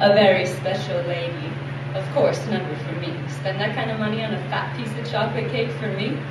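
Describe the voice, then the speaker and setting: Noticeable background noise sits behind the speech. A woman talks at a fairly quick pace. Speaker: slam poet. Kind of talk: live spoken word poetry performance. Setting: live audience in a theatre.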